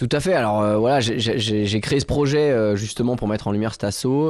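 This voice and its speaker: A man speaks at a moderate pace in a fairly low pitch with fairly even intonation. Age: 30s. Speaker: sailor and mountaineer. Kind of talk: radio interview. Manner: halting, many hesitations and repeated words.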